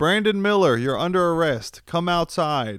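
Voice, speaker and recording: A man with an American accent at a moderate pace, pitch swinging very widely, on a very clean recording with a silent background. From US East Coast (Virginia/DC). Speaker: podcast co-host. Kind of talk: casual banter. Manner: joking, crude, banter.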